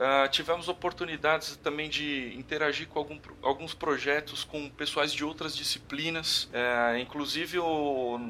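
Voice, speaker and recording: Speaking fairly slowly, a man uses a fairly high pitch and a bright, sharp tone with fairly even intonation. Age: 30s. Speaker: electrical engineer. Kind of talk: interview, casual conversation.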